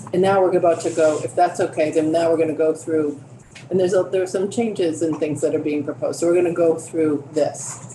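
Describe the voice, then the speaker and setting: A woman's fairly low voice at a fairly quick pace, fairly even in intonation, over noticeable background noise. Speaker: committee chair. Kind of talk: committee meeting. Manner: fast.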